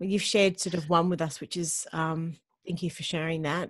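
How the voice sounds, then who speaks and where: A somewhat breathy woman with an Australian accent at a fairly quick pace, against a quiet background. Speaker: podcast host. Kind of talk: casual interview. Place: home room. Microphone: video call.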